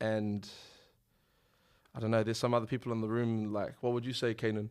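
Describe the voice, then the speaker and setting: In a New Zealand accent, a man speaks in a flat monotone. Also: medium pitch for a man. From New Zealand, Auckland. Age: 20s. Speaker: musician. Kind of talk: casual chat. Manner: halting.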